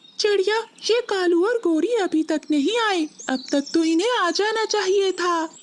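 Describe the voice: Someone uses a cartoonish character voice at an extremely high pitch and a moderate pace.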